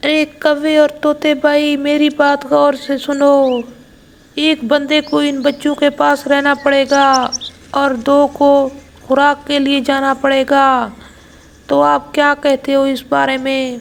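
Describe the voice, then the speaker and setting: A female-sounding, cartoonish character voice pitched high. The pace is fairly slow. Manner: earnest.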